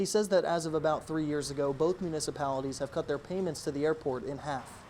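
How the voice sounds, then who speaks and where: A man's fairly high voice with an American accent at a very fast pace, fairly even in intonation. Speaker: local TV news reporter. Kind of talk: TV news reporter standups and package narration.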